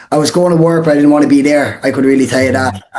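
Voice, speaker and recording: A man with an Irish accent talks at a fairly high pitch. Music plays in the background. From Ireland, Portlaw (Co. Waterford). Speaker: real estate wholesaler, former soccer player. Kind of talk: podcast interview. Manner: casual, filler-heavy.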